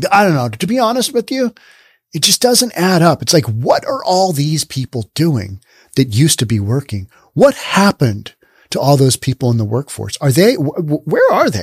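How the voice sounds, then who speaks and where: Breathy to a degree, a man's fairly high voice moves at a moderate pace with very wide pitch swings. The sound is dry and close with no echo, on a very clean recording with a silent background. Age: 50s. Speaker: solo commentary podcaster. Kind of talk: solo news commentary. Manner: animated.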